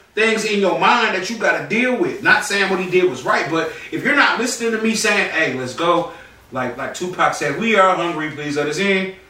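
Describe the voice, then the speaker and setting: With an American accent, a man projects a raised, high-pitched voice with lively intonation at a moderate pace, amid audible room echo and noticeable background noise. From North Carolina. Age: 30s. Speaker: podcast co-host, battle rap commentator. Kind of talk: casual chat.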